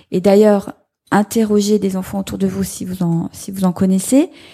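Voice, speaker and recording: The recording is dry and close with no echo as a woman speaks fairly slowly, somewhat breathy, with a dark, mellow tone. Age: 40s. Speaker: member of parliament. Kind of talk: live panel discussion. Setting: stage with audience.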